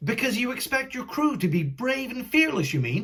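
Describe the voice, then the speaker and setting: With very wide pitch swings, a put-on character voice carries the speech. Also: man. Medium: read story. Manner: hesitant, simple-minded.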